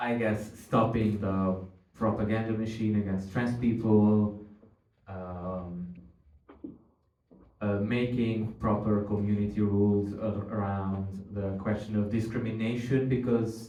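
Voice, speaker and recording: In a Hungarian accent, a man speaks fairly slowly with a fairly low pitch, a dark, mellow tone and flat, monotone intonation, with audible room echo. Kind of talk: panel discussion. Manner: halting, searching for words.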